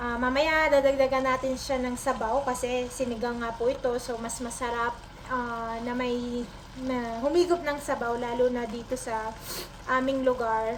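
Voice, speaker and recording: Noticeable background noise and audible room echo surround a woman with a high pitch. She talks at a fairly slow pace in a monotone, flat intonation. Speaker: cooking vlogger. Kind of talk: cooking tutorial. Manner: halting.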